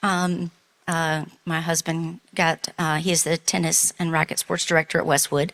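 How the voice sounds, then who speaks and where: At a fairly slow pace, a woman speaks with a Southern US accent. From US South. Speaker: church member, relief volunteer. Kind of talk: testimony. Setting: church.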